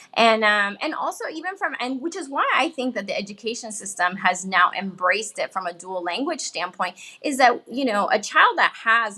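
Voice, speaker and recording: Bright and sharp in tone, a woman speaks at a fairly high pitch and a moderate pace with very wide pitch swings. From Miami, Florida. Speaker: bilingual parenting expert. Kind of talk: interview. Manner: halting.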